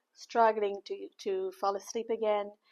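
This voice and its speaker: A woman with a non-native accent talks at a fairly slow pace and a fairly high pitch. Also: quiet background. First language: not English. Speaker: vlogger. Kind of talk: casual vlog. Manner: halting.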